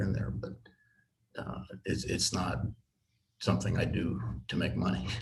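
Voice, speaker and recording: A man speaks with vocal fry. The room echo is audible. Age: 70s. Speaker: tensegrity model builder. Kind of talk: casual chat. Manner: halting.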